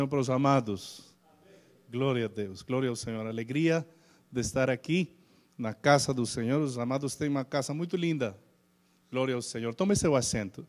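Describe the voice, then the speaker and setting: With a Spanish accent, a man speaks at a medium pitch and a moderate pace, leaving long, frequent pauses. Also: ordinary pitch variation. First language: Spanish (speaking Portuguese). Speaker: pastor. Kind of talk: sermon. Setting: church. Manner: halting, many fillers.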